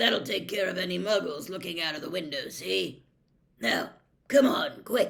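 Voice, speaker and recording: A gruff, raspy put-on character voice at a middle pitch. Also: moderate pace. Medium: read story. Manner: gruff, barking orders.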